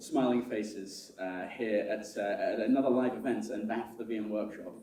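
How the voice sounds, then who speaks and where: A man with an American accent has a dark, mellow tone and ordinary pitch variation. Audible room echo surrounds his voice. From United Kingdom. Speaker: conference chair and systems architect. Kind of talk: conference opening speech. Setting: stage with live audience. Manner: halting, many fillers and repetitions.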